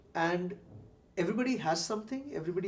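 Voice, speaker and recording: Talking rather quickly, a high-voiced man lets his pitch rise and fall in a normal way. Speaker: interviewer, former corporate professional. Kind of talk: interview. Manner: hesitant, many fillers.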